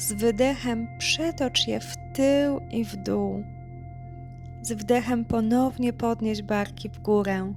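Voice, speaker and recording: Music plays in the background as a woman speaks very slowly in a calm tone, her loudness swinging widely. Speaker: yoga instructor. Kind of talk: guided yoga class instruction. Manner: calm, soft-spoken.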